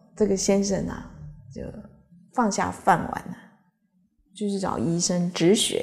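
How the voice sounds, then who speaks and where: The pace is fairly slow. The background stays quiet. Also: woman. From Taiwan. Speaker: Buddhist teacher. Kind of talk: Dharma lecture with anecdotes. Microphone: podium.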